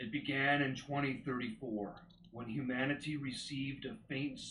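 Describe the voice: Just plain reading aloud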